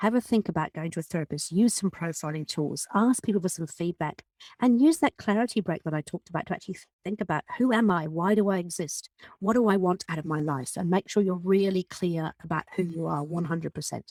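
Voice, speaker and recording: Someone with a British accent talks at a very fast pace. The sound is dry and close, with no echo. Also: woman, fairly low pitch for a woman, ordinary pitch variation. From Britain. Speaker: podcast host and business coach. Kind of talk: podcast monologue. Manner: animated.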